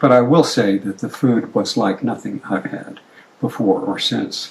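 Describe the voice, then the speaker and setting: Noticeable background noise sits behind a man speaking at a moderate pace in a medium pitch. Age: 70s. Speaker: retired pediatric ophthalmologist. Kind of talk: informal talk to colleagues.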